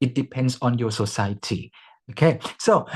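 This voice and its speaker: At a fairly slow pace, a man with a non-native accent talks in very wide pitch swings. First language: not English. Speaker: conference speaker. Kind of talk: lecture. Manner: halting.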